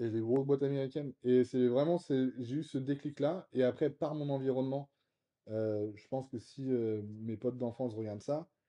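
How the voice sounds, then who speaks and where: A man of medium pitch at a moderate pace, with fairly even intonation. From Brittany, France (Vannes). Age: 30s. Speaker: real estate investor. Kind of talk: casual interview. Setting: apartment. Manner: hesitant, many fillers.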